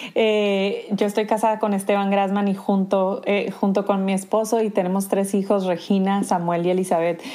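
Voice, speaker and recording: A woman with a northern Mexican accent speaks at a moderate pace in a medium pitch. Her intonation is monotone and flat, with noticeable background noise. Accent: northern Mexican (Sonoran) Spanish. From Sonora, Mexico. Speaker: pastor's wife and church ministry leader. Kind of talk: casual interview conversation.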